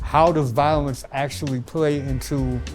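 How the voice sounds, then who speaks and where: Music plays in the background as a man speaks in a Louisiana accent. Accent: Louisiana Southern US. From Baton Rouge, Louisiana. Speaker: performance poet. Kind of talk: interview answer.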